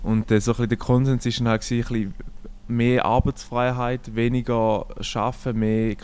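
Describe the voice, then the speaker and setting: Delivered at a very slow pace, the speech has a monotone, flat intonation. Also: man. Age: 20s. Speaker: podcast co-host. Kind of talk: casual chat.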